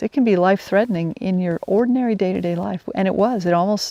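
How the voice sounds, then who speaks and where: Against a quiet background, the voice has ordinary pitch variation and a dry, close sound with no echo. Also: woman. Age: 60s. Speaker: wilderness guide. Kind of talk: personal storytelling monologue. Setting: outdoors, camping in the woods. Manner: halting, frequent restarts.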